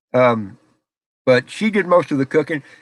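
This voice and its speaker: A man speaks loudly at a moderate pace with a Southern US accent, his pitch swinging very widely. The sound is dry and close with no echo, on a very clean recording with a silent background. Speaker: live streamer. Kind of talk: casual chat. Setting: home office, live stream.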